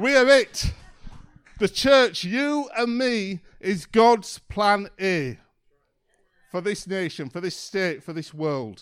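High male voice with very wide pitch swings, in a very clean recording over a silent background. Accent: Yorkshire. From Yorkshire, northern England. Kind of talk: sermon.

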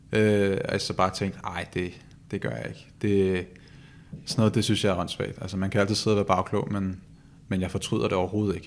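Speaking at a very fast pace, this man has a very deep, low pitch. The words come out quickly. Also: ordinary pitch variation. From Copenhagen, Denmark. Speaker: professional footballer. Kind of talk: interview. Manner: halting, with repetitions.

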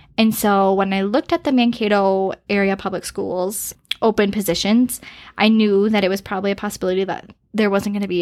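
This woman has a plain, everyday voice at a medium pitch, speaking fairly quickly. The recording is very clean, with a silent background. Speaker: preschool teacher. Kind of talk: casual interview.

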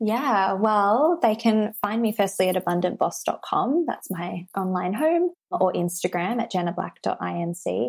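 The speaker has an Australian accent and lively intonation at a moderate pace with hardly any pauses. The recording is very clean with a silent background. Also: woman, medium pitch for a woman. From Australia, Sydney. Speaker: business and abundance coach. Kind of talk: interview conversation.

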